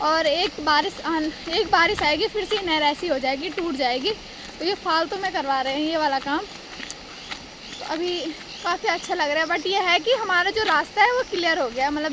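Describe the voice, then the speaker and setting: Over noticeable background noise, a woman talks at a moderate pace in an extremely high voice. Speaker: vlogger. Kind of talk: casual vlog narration. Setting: outdoors, walking to village.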